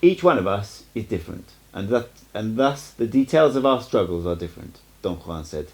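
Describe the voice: The delivery is plain. The text is read aloud.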